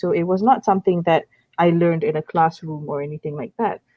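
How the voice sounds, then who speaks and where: A moderate pace with a Malaysian accent. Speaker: online English tutor. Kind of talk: casual conversation lesson. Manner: hesitant, many fillers and repeats.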